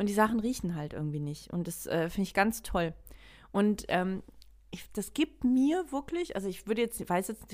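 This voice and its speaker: In a very clean recording with a silent background, a woman speaks at a moderate pace and medium pitch, with lively intonation and an animated tone. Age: 40s. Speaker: podcast co-host. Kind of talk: casual chat. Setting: dim room, lamp on her face.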